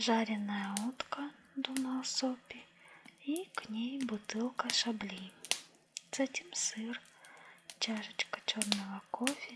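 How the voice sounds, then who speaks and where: Soft-spoken and calm in tone, a woman with a fairly high pitch talks at a very slow pace with ordinary pitch variation over noticeable background noise. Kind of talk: audiobook-style story reading, ASMR. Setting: cozy indoor reading with crackling fireplace sounds. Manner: soft-spoken, calm, measured.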